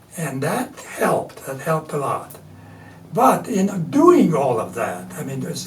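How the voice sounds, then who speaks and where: Over noticeable background noise and audible room echo, a man with a Latvian accent speaks at a fairly slow pace in a fairly high voice with very wide pitch swings. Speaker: artist and printmaker. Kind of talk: interview. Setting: studio.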